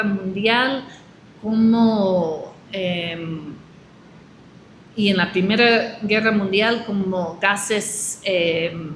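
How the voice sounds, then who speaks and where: A woman speaks very slowly with a non-native accent. Room echo is audible in the recording. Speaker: agroecology expert. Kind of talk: interview. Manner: halting.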